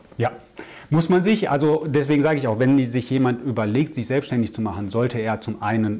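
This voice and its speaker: A man's medium-pitched, dark, mellow voice at a fairly quick pace with ordinary pitch variation, on a very clean recording with a silent background. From Germany, Ruhr area. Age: 40s. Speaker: crisis and growth consultant. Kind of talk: interview.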